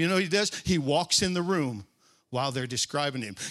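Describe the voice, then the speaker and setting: An animated tone comes through at a fairly quick pace with ordinary pitch variation. There is noticeable background noise. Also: man. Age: 60s. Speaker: preacher. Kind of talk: sermon. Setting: church stage with congregation.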